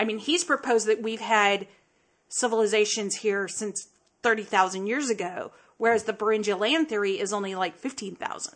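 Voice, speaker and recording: A woman's fairly high, normal speaking voice at a fairly quick pace, with ordinary pitch variation against a quiet background. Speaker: podcast co-host. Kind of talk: casual chat, comedic banter.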